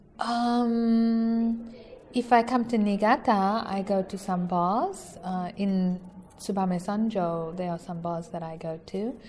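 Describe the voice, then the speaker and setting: Noticeable background noise is present. Through it, a woman can be heard talking. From South Africa. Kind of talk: casual interview. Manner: hesitant with fillers.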